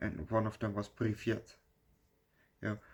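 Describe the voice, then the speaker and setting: Talking at a moderate pace, a man with a Dutch accent has a fairly low pitch. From Netherlands. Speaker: movie reviewer. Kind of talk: casual video review. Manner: halting, many fillers.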